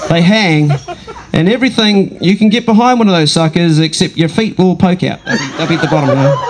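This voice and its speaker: A man with a New Zealand accent speaks at a very fast pace and a high pitch, with ordinary pitch variation. Noticeable background noise is present. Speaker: comedian. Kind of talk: stand-up. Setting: stage with audience. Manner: animated.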